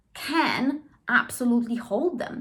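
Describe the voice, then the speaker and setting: A woman with a Polish accent and lively intonation. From Poland. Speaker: trauma therapist and language teacher. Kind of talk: educational monologue. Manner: conversational, with frequent fillers and self-corrections.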